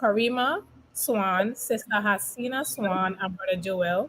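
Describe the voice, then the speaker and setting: A woman talks at a medium pitch. She has a strong Caribbean accent. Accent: heavy Caribbean dialect. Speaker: youth ministry organizer. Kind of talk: casual chat.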